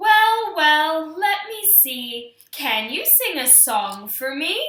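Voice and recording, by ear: Using a put-on character voice, a woman speaks very slowly at a high pitch with very wide pitch swings and a slight echo.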